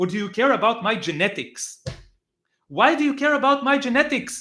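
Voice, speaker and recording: A man with an Israeli accent speaks in a raised, projected voice with a bright, sharp tone. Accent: Hebrew. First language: Hebrew. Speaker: political commentator. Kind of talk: live reaction stream. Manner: halting, many filler words; animated.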